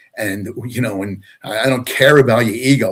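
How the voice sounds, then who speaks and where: A man with an American accent talks at a moderate pace with ordinary pitch variation. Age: 60s. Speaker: retired deputy fire chief. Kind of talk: interview. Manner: halting, many fillers.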